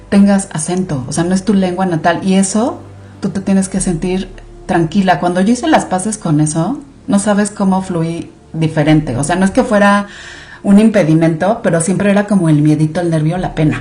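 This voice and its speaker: A woman speaks with a Mexican accent at a medium pitch and a moderate pace. Her pitch variation is ordinary, and there is noticeable background noise. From Mexico. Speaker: clinical research director. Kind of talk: podcast interview. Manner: animated.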